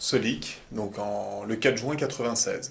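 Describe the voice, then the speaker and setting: Audible room echo surrounds the voice. Delivery is fairly slow, with ordinary pitch variation. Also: man. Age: 30s. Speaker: company founder and CEO. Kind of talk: corporate testimonial interview. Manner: hesitant, many fillers and repetitions.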